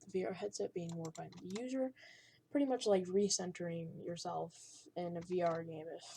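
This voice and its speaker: A woman's fairly low, dark, mellow voice, somewhat breathy, at a fairly quick pace, with big swings in loudness. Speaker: coding tutorial maker. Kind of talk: tutorial. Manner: halting.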